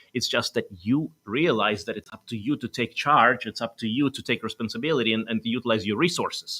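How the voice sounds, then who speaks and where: With a Russian accent, a man speaks at a fairly quick pace with hardly any pauses, a medium pitch, ordinary pitch variation, and a bright, sharp tone in a dry, close sound with no echo. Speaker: doctor and wellness show host. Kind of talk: talk show interview.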